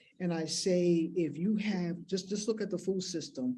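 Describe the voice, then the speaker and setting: In a room with audible echo, a woman speaks in a fairly low voice with ordinary pitch variation. Her tone is dark and mellow. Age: 60s. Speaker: keynote speaker, farmer activist. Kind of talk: keynote speech. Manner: impassioned, emphatic.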